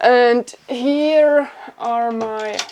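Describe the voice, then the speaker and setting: A woman in a German accent, with ordinary pitch variation. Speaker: bushcraft YouTuber. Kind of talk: casual home tour vlog. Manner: hesitant with fillers.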